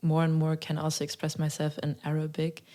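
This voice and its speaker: Recorded very cleanly over a silent background, a woman speaks with a German accent at a very deep, low pitch. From Germany, Berlin and Mecklenburg-Western Pomerania. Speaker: singer-songwriter. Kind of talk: interview.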